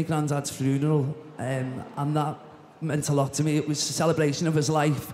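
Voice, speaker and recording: A man speaks in a Liverpool accent at a fairly high pitch. His intonation is monotone and flat, with noticeable background noise behind him. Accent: Scouse (Liverpool). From Liverpool, England. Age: 30s. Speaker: talent show contestant. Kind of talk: interview. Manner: halting.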